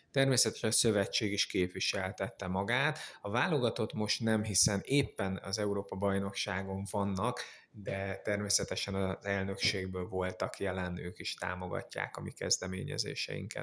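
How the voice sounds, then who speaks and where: A man with a plain, everyday voice, fairly low in pitch, at a moderate pace with fairly even intonation. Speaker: charity foundation representative. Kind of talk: radio interview.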